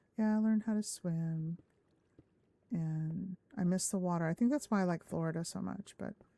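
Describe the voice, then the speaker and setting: Speaking with an American accent at a moderate pace, a woman uses a fairly low, dark, mellow tone with ordinary pitch variation and long, frequent pauses, the sound dry and close with no echo. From Southern California, Orange County. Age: 50s. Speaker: gaming streamer. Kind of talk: live stream chat. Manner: casual, rambling with hesitations.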